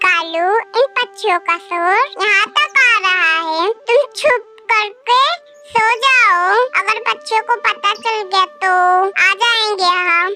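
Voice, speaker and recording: Using a cartoonish character voice at an extremely high pitch, a woman speaks at a fairly slow pace. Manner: haughty, boastful.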